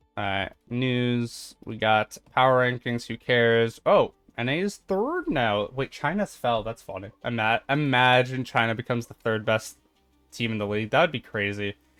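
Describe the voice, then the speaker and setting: There is music behind this man's medium-pitched voice. His pitch varies in an ordinary way, and the sound is dry and close with no echo. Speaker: gaming streamer. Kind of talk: live gameplay commentary. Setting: live stream. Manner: fast.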